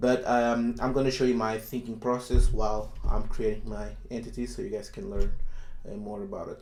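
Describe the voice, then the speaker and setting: A man's moderately paced voice bounces with audible room echo. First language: not English. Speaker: software developer YouTuber. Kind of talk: coding tutorial. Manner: hesitant, many fillers.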